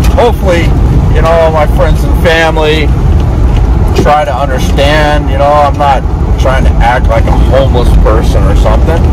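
Loud background noise under a man speaking at a moderate pace, the sound dry with no echo. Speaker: van-camping vlogger. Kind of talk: casual vlog chat. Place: car. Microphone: phone near.

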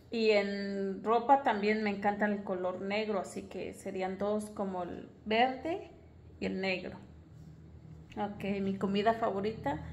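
A woman talks very slowly over light background noise. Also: fairly even intonation. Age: 20s. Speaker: vlogger, stay-at-home mother; vlogger. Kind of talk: casual vlog monologue. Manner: hesitant, with many fillers. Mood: relaxed, friendly. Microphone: phone near.

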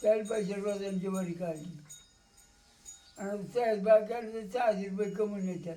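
A man speaks with a high pitch. His intonation is fairly even. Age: 80s+. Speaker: farmer. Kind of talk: interview answer.

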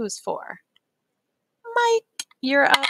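An animated woman's voice with an American accent, dry with no echo, over a quiet background. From Pennsylvania, Erie; Pennsylvania. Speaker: teacher and school librarian; teacher. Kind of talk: mock tutoring lesson demo. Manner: animated, encouraging teacher voice. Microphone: webcam.

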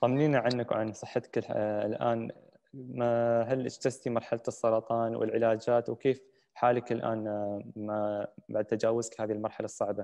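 A man speaks at a moderate pace with a dark, mellow tone and monotone, flat intonation. The background is quiet. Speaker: moderator. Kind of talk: moderated panel discussion. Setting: virtual session, video call. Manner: formal. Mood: calm, caring. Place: home room. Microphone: video call.

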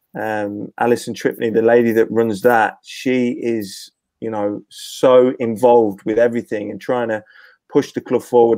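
In an East Midlands accent, a man speaks at a moderate pace in a dark, mellow tone with monotone, flat intonation, against a quiet background and a dry sound with no echo. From Leicester, England. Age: 40s. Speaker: former professional footballer. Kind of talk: casual chat. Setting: video call. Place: home room. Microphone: earbuds.

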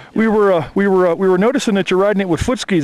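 The speech comes at a very fast pace. The sound is dry, with no echo. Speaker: interviewer. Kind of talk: interview questions to camera. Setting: outdoors. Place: open country. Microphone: camera far.

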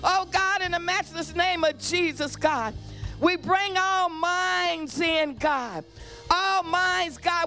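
A woman's raised, projected voice, very slow, with ordinary pitch variation and faint music in the background. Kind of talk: spoken prayer. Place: church. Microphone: handheld.

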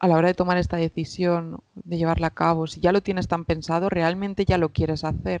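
A woman speaks with a fairly low pitch. The sound is dry, with no echo. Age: 20s. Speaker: psychologist; podcast guest. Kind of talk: interview. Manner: halting. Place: home room. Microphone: headset.

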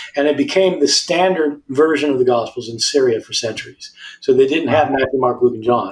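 A man speaks at a fairly quick pace with ordinary pitch variation and a somewhat breathy voice. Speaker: guest. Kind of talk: interview answer. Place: home room. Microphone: video call.

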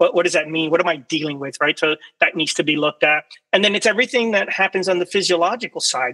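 A man with an American accent speaks at a very fast pace, his high pitch showing ordinary variation. His tone is bright and sharp, and the background is quiet. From Florida, Cuban American family. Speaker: military veteran and researcher. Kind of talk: presentation. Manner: halting, with many fillers and repetitions. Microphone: video call.

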